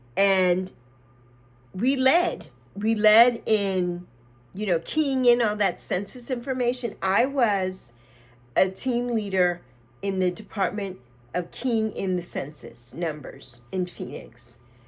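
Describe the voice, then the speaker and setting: Speaking at a very slow pace with long, frequent pauses, a woman uses lively intonation at a medium pitch. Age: 60s. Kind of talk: casual talk to camera. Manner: mellow.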